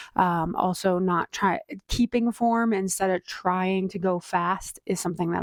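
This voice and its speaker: A woman with an unremarkable speaking voice and a medium pitch for a woman is heard in a dry, close sound with no echo. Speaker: endurance athlete vlogger. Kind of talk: casual vlog monologue. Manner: chatty with fillers.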